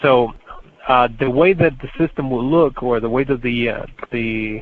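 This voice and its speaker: The man's pitch rises and falls in an ordinary way as he talks. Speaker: corporate trainer. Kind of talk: training webinar. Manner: fast; hesitant, many fillers.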